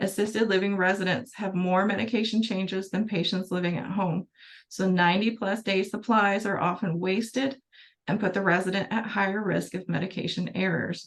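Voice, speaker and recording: With a normal speaking voice, a woman talks at a medium pitch and moderate pace, her intonation fairly even. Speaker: pharmacy presenter. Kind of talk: webinar presentation. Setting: webinar.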